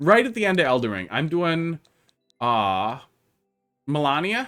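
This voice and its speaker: Music plays in the background as a man speaks with a slight Wisconsin accent. His fairly high pitch swings very widely. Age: 30s. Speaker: game streamer. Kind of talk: casual live-stream commentary. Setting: live stream.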